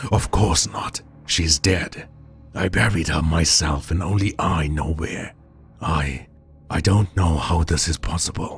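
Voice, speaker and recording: Putting on a character voice, a man speaks at a fairly slow pace in a gravelly, very deep, low register over clear music in the background. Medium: read story.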